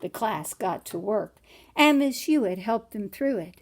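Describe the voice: A plain read-aloud delivery, lively in its intonation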